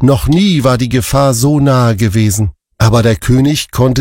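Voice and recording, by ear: The background stays quiet while a person is reading aloud in a natural voice.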